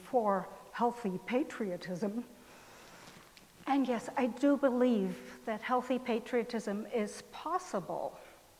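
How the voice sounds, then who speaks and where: This woman talks at a very slow pace in a high pitch. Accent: German. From Germany, West Berlin. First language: German. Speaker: pastor. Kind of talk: sermon.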